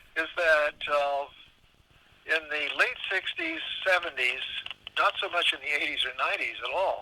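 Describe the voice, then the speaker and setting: Against noticeable background noise, a man with an American accent talks at a fairly slow pace. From Southern California. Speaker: former longshoreman and county supervisor. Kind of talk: interview answer.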